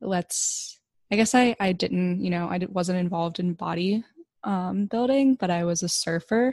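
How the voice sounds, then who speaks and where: Against a quiet background, a woman with a fairly low pitch speaks fairly slowly in an ordinary speaking voice, with ordinary pitch variation and a dry, close sound with no echo. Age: 20s. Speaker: podcast host. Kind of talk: casual interview chat.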